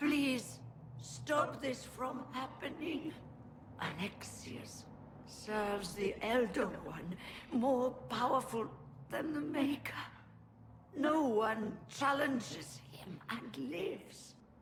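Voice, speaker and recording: With clear background noise, a woman puts on a cartoonish character voice, high-pitched and at a very slow pace. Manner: urgent, strained.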